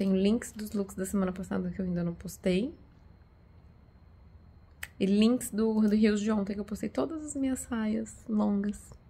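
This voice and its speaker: Here a woman speaks at a moderate pace. Her voice is somewhat breathy. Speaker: vlogger. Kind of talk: casual vlog chat. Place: home room. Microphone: phone near.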